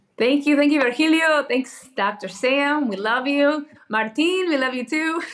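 High-pitched female speech at a fairly slow pace with ordinary pitch variation. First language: English (native; also speaks Spanish and Portuguese). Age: 30s. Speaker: pastor. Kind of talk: podcast interview.

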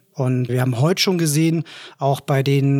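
Fairly even intonation marks this man's medium-pitched voice. He speaks at a moderate pace. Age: 30s. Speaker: head of product at marketing agency. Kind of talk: casual business chat. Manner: hesitant with frequent filler sounds.

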